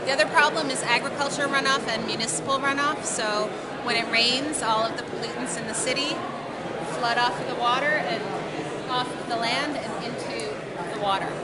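There is crowd noise in the background. A woman talks at a fairly quick pace. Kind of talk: interview answer. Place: hall. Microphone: phone near.

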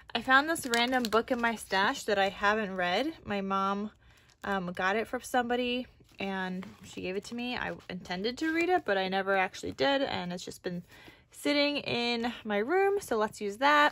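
Over light background noise, a woman speaks at a moderate pace with a bright, sharp tone and lively intonation. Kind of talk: casual tutorial chat.

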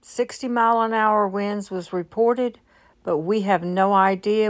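A woman with ordinary pitch variation against a quiet background. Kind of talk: casual vlog chat. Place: car. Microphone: phone near.

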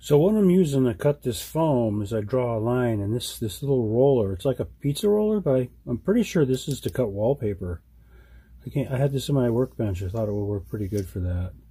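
There is a dark, mellow tone to this man's somewhat breathy voice. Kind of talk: tutorial. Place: workshop.

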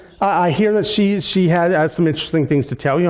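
A quiet background behind a man talking. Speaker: pastor. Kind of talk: church announcements. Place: church.

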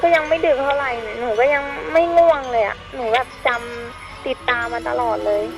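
A high-pitched woman with ordinary pitch variation, music in the background. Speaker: caller telling her own ghost experience. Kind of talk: casual storytelling of a personal ghost experience on a radio call-in. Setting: phone line.

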